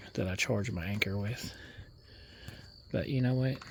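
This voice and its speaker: Quiet and fairly low-pitched, a man with an American accent talks with fairly even intonation. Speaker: mobile DJ and vlogger. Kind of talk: casual vlog narration. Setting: outdoors at night, camping trailer by a lake. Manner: quiet, hushed.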